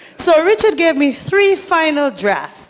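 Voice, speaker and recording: A woman speaks in a strong Saint Lucian accent. Her pitch is high and her intonation lively. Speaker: community organizer and emcee. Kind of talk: emcee remarks at public forum. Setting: library forum with audience. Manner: animated.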